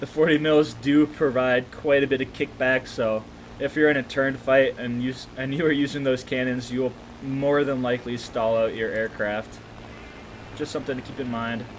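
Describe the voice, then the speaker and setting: Against noticeable background noise, a man mumbles with fairly even intonation. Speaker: gaming commentator. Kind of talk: gameplay commentary. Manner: mumbling; stuttering.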